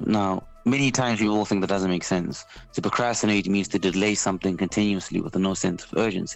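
Fairly even intonation runs over music in the background. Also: man, fairly low pitch for a man. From South Africa. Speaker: spoken word poet and artist. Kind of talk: radio interview. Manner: articulate, thoughtful.

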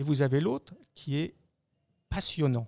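Here a man talks at a fairly slow pace with a fairly high pitch. The sound is dry and close, with no echo. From Lorraine, eastern France (Metz). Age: 50s. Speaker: business executive. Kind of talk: interview.

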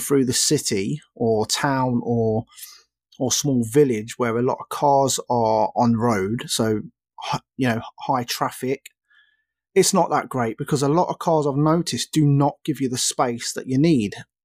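An English accent with ordinary pitch variation, dry and close with no echo, on a very clean recording with a silent background. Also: man, medium pitch for a man, moderate pace. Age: 30s. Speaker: podcast host. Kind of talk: casual solo chat.

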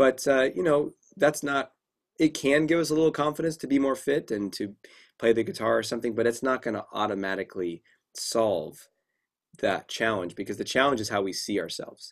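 A man speaks in an ordinary speaking voice with lively intonation at a fairly quick pace. The recording is very clean, with a silent background. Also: medium pitch for a man. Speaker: clinical psychologist and confidence coach. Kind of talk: casual interview.

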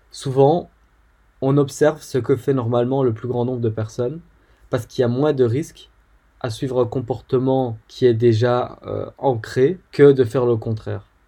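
Speaking at a moderate pace with long, frequent pauses, a man with a medium pitch sounds somewhat breathy, his dark, mellow tone carrying fairly even intonation. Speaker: podcast host. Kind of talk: solo educational talk. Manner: hesitant with fillers.

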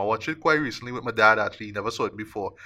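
In a very clean recording with a silent background, a man with a Trinidadian accent speaks in a bright, sharp tone with ordinary pitch variation. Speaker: podcast host, film critic. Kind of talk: casual chat.

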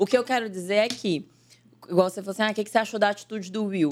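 Very rapid and animated in tone, a woman's speech pours out. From Brazil, northern Minas Gerais (Salinas). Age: 20s. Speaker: actress and digital influencer. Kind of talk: casual chat.

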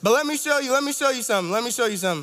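Over noticeable background noise, a man with an extremely high pitch talks in an animated tone with ordinary pitch variation. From Toronto, Canada. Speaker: campus ministry associate director. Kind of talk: sermon.

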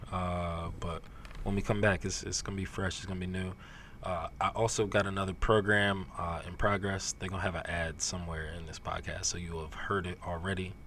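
A man speaks with a New Jersey accent at a very deep, low pitch. His pace is fairly quick and his intonation monotone and flat. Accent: New Jersey American English. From Neptune, New Jersey. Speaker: podcast host and music writer. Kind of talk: casual interview.

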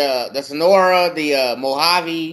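The man's voice sits fairly high in pitch, with a fairly bright tone. His pitch varies in an ordinary way.

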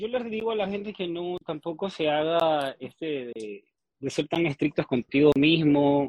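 Using a normal speaking voice, a man with a fairly high pitch talks at a fairly slow pace with lively intonation. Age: 30s. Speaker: fitness coach. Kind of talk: interview.

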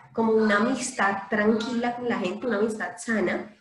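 Audible room echo hangs around this recording. In it, a woman talks at a moderate pace. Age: 30s. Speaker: English instructor. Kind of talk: casual chat.

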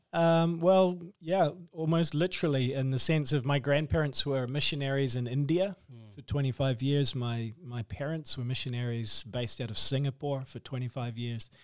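A man with a New Zealand accent and a fairly high pitch, at a moderate pace with hardly any pauses, ordinary pitch variation and big swings in loudness. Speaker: author and missionary. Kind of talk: interview.

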